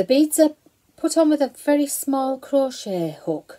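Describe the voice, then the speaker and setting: With a dark, mellow tone and very wide pitch swings, a woman talks at a fairly slow pace. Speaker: knitting vlogger. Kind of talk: casual show-and-tell vlog. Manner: talking quietly.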